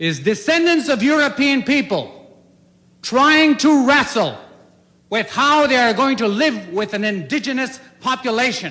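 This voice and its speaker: Raised and projected, a man's voice rings out at an extremely high pitch, with lively intonation and a bright, sharp tone. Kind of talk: political speech. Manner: fiery, emotional, aggressive; firm, clear.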